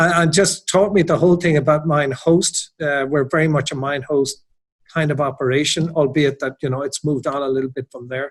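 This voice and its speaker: This voice has an Irish accent and a somewhat breathy quality. It moves at a fairly quick pace with fairly even intonation. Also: man, fairly high pitch for a man. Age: 60s. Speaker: hotel general manager. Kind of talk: interview.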